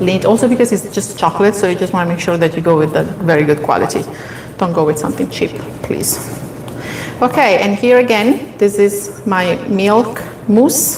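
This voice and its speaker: A woman at medium pitch talks at a moderate pace with lively intonation. Background noise is noticeable. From Italy, Molise (central-south). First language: Italian. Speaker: baking instructor. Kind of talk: live cooking tutorial.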